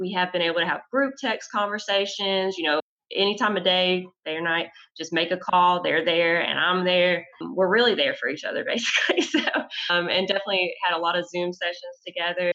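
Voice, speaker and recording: A woman talks with a plain, everyday voice at a medium pitch. Her pace is fairly quick, with ordinary pitch variation. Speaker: high school English teacher. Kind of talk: casual panel conversation.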